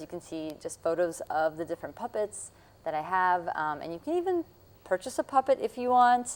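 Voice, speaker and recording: The speaker is a woman. Her pitch is medium. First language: Russian. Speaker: puppeteer and jazz musician. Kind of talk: interview.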